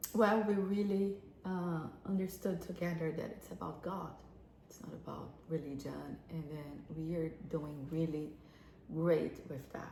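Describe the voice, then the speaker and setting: Against noticeable background noise and audible room echo, a woman with a non-native accent speaks at a fairly slow pace, her fairly low pitch showing ordinary variation. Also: big swings in loudness. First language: not English. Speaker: relationship advice co-host. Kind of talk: casual advice talk. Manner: halting.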